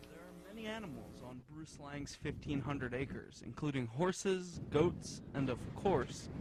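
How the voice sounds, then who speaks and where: Here is a man with an unremarkable speaking voice, pitched fairly high, with lively intonation and big swings in loudness. His pace is moderate, with hardly any pauses. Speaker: TV news reporter. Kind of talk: broadcast news reporter delivery.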